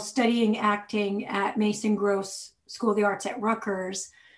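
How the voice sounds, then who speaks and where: At a fairly slow pace, a woman speaks in a fairly high pitch. Her intonation is monotone and flat. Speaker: author and magazine editor. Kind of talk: casual interview.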